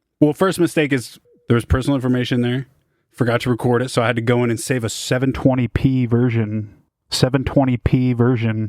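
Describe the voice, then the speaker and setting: At a fairly quick pace, a man with an American accent speaks at a medium pitch with fairly even intonation. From San Jose, California. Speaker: music producer streaming. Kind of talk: livestream chat reading comments. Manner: casual, slangy.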